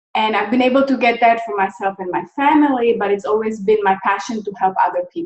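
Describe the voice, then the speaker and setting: A woman with a slight Czech accent speaks very fast at a fairly high pitch, with ordinary pitch variation and hardly any pauses. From Czechoslovakia. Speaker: nonprofit founder. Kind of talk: interview.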